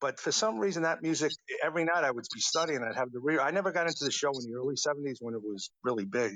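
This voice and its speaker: A man with a New York accent talks at a very fast pace with ordinary pitch variation. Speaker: songwriter. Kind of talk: interview. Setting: online audio room.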